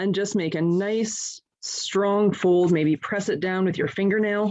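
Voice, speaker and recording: A woman talks in a normal speaking voice at a medium pitch and a fairly slow pace. Her intonation is fairly even and her loudness very even. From Canada. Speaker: guide leader and scientist. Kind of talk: tutorial. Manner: clear, step-by-step instructional.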